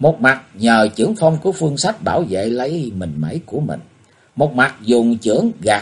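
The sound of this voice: The voice is an unforced reading voice. It is used throughout the clip.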